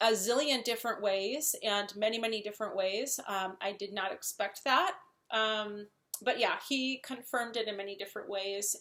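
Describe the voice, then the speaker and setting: With a Wisconsin accent, a woman talks at a moderate pace in a fairly high pitch and fairly even intonation. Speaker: software project manager and translator. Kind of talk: casual talk to camera.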